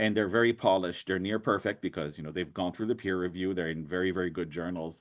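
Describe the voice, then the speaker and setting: At a very fast pace, a man talks with a very deep, low pitch. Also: fairly even intonation. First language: French. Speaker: agricultural economics professor. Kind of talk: lecture.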